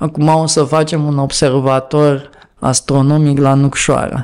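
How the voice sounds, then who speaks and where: This man has an unremarkable speaking voice, fairly high in pitch, and talks at a fairly slow pace. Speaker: activist. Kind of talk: casual chat.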